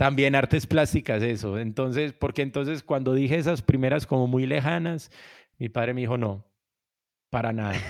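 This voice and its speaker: A man speaks at a moderate pace and medium pitch in a plain, everyday voice, on a very clean recording with a silent background. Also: ordinary pitch variation. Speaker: musician and music producer. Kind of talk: interview.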